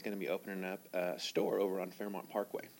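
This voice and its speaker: Here a man of fairly low pitch talks at a fairly quick pace. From Texas. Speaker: public commenter, pet store representative. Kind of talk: public comment at council meeting. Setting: city council meeting at podium mic. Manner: halting, many fillers.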